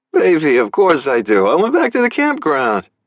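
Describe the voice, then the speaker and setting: A man does a put-on character voice, nasal and booming, with a fairly high pitch. He keeps a moderate pace and a very even loudness. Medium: read story. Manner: smarmy, evasive.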